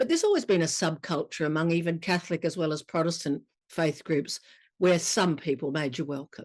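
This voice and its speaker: A woman with an Australian accent speaks at a fairly quick pace with ordinary pitch variation. Her voice is fairly low, and the background is quiet. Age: 70s. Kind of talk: testimony.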